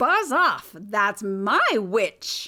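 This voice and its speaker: A woman's put-on character voice, fairly high, shrill, croaky and growling. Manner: menacing, shouting.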